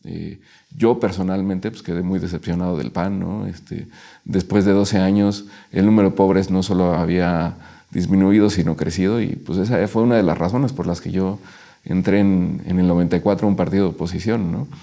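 Against a quiet background, a man speaks with a very deep, low pitch, a dark, mellow tone and fairly even intonation. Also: moderate pace. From Mexico City. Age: 40s. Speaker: local councillor. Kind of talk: interview. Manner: halting, many fillers. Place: studio. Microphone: lapel.

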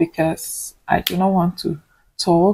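A woman speaks with a Nigerian accent. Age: 20s. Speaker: vlogger, nursing student; vlogger. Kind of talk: casual vlog talk to camera. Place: home room. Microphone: phone near.

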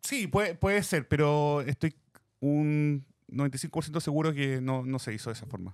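With a Chilean accent, a man talks at a very slow pace in a fairly high pitch with ordinary pitch variation, the sound dry with no echo and the background quiet. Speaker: podcast co-host. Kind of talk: casual chat. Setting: studio. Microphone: studio mic.

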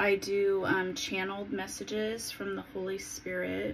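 Against light background noise, a woman speaks at a fairly slow pace. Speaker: spiritual vlogger. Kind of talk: casual vlog chat. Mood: calm, dreamy. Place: home room. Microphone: phone near.

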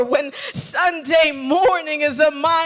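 Over music in the background, a woman speaks very slowly in a raised, projected voice with lively intonation. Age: young. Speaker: spoken word artist. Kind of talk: spoken word poetry performance. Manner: powerful, compelling. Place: church. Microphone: handheld.

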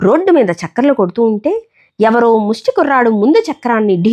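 With lively intonation, someone is reading aloud in a natural voice against a quiet background.

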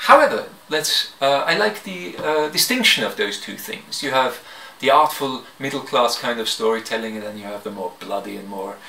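The tone is bright and sharp, with vocal fry and ordinary pitch variation. The pace is moderate, and room echo is audible. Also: man.

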